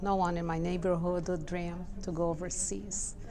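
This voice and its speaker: In a Portuguese accent, a woman speaks amid noticeable background noise and audible room echo. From Brazil. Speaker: social services professional. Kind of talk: personal interview testimony.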